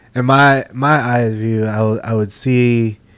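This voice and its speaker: A man speaks quietly in a monotone, flat intonation. The recording is very clean, with a silent background. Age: 20s. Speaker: podcast co-host. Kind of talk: casual chat. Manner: laid back, quiet.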